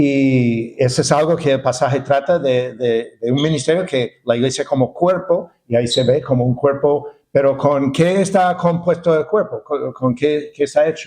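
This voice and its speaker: Fairly high male pitch with a dark, mellow tone, ordinary pitch variation, very even loudness, a moderate pace and hardly any pauses. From United States. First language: English (speaking Spanish). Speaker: pastor and seminary professor. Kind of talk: sermon. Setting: church. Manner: halting, many fillers and repetitions.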